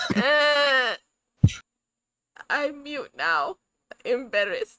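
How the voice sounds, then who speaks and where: A woman's high, bright and sharp voice, raised and projected, with very wide pitch swings at a very slow pace, dry and close with no echo. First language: Spanish. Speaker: podcast co-host. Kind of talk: reading research notes aloud on a live stream. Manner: halting over hard words.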